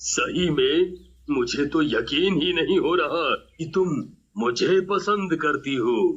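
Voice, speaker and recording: In a put-on character voice, the words come out at a very slow pace. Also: man, high pitch for a man. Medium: read story. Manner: growling, gloating.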